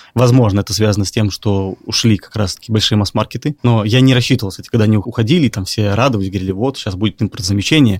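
In a very clean recording with a silent background and a dry, close sound with no echo, a man talks very fast at a fairly low pitch with ordinary pitch variation. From Belarus, Minsk. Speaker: clothing brand founder. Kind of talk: interview.

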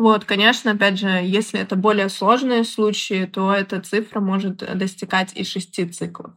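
A woman talks at a moderate pace and medium pitch with hardly any pauses. Her intonation stays monotone and flat. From Belarus, Minsk. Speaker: product manager. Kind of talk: interview.

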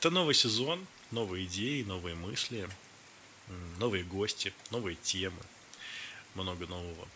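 Over noticeable background noise, a man with a very deep, low pitch talks at a moderate pace, with ordinary pitch variation and long, frequent pauses. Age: 30s. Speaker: podcast host, life coach. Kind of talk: solo podcast monologue, unscripted. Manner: casual, conversational.

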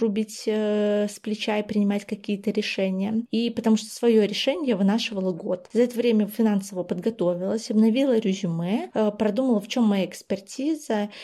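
A woman's fairly high voice with a dark, mellow tone, fairly even intonation, a moderate pace and hardly any pauses. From Belarus, Vitebsk. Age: 20s. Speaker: PR specialist. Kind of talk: personal story.

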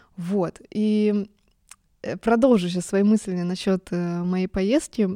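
In a dark, mellow tone, a woman speaks at a very slow pace with a medium pitch and fairly even intonation, the sound dry and close with no echo. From Germany. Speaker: music podcast host. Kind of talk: casual monologue. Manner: emotional, trembling voice.

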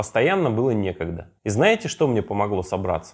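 In a very clean recording with a silent background, a man with vocal fry moves at a fairly quick pace through very wide pitch swings. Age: 30s. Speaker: podcast host. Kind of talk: solo podcast monologue.

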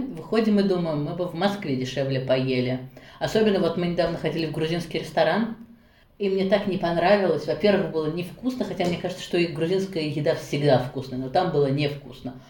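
A fairly low, quick-paced woman's voice with ordinary pitch variation, audible room echo and noticeable background noise. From Russia, Nizhny Novgorod. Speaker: interview guest, mother and book blogger. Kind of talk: casual interview. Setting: call.

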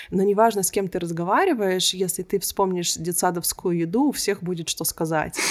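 Noticeable background noise sits behind a woman at medium pitch. She talks with hardly any pauses and ordinary pitch variation. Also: moderate pace. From Israel. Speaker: coach and researcher. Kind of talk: interview conversation.

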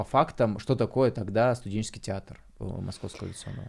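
This man has an unremarkable speaking voice, a medium pitch and ordinary pitch variation. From Bryansk region, Russia. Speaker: podcast host. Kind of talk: casual chat.

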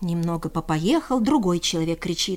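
Speaking at a moderate pace, a woman uses a fairly low pitch and lively intonation.

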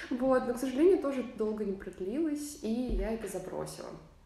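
A woman talks at a moderate pace with ordinary pitch variation. Noticeable background noise and audible room echo fill the recording. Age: 20s. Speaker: choir singer and podcast co-host. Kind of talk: casual chat.

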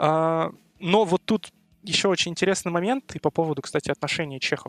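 A fairly quick pace with a dry, close sound and no echo. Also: man. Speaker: university student. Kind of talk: casual chat.

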